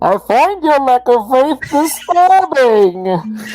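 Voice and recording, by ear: A put-on character voice with a high pitch talks at a very slow pace.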